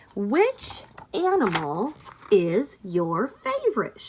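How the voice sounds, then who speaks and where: A woman does a put-on character voice at a fairly high pitch. She speaks very slowly. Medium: read story.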